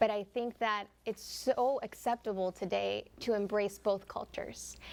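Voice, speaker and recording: At a moderate pace, a woman speaks with a Spanish accent. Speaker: TV news reporter. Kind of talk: TV panel discussion.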